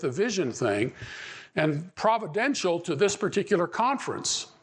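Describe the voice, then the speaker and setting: In an American accent, a man speaks at a moderate pace in a high pitch with very wide pitch swings, against a quiet background. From Pittsburgh, Pennsylvania. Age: 70s. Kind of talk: conference talk. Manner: repetitive, halting.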